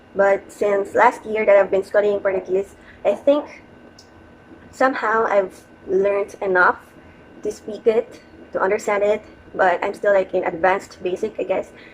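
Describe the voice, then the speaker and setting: A woman with a Filipino accent speaks at a moderate pace, with fairly even intonation. Long, frequent pauses break up her speech, and background noise is noticeable. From Philippines, Quezon City, Metro Manila. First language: Tagalog. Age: 30s. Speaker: vlogger. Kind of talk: casual vlog monologue. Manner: hesitant, with fillers.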